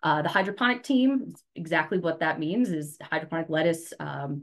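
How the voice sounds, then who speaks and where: A woman with an American accent talks at a fairly quick pace in a fairly low voice with lively intonation. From Eastern Shore of Maryland, US. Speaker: horticulture technical sales consultant. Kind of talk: educational webinar presentation. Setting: online webinar.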